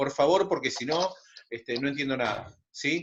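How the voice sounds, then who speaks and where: Lively intonation rides on a voice moving at a medium speed. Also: man. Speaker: secondary school math teacher. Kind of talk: online class. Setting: video call.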